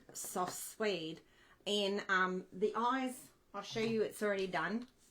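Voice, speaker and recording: A woman's bright, sharp voice with an Australian accent and fairly even intonation. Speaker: craft demonstrator. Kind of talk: tutorial. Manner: casual, chatty.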